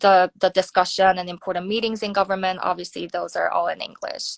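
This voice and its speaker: A woman talks at a medium pitch in a dry, close sound with no echo. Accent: Korean. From South Korea. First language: Korean. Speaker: nuclear security researcher. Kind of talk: interview. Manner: hesitant, many fillers.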